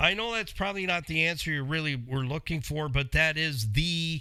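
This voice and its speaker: Speaking with a Canadian accent, a man has an animated tone and lively intonation. His pace is fairly quick. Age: 60s. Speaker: radio host, car mechanic. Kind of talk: call-in style Q&A show.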